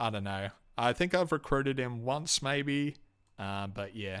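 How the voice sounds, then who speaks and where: This man's pitch varies in an ordinary way, captured in a very clean recording against a silent background. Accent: Australian. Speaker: video game reviewer. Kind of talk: solo review monologue. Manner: hesitant, many fillers.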